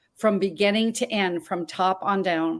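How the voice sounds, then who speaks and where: In a very clean recording with a silent background, a woman with an American accent uses a plain, everyday voice, ordinary pitch variation and a moderate pace. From Montana. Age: 60s. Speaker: talk show host. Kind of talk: interview.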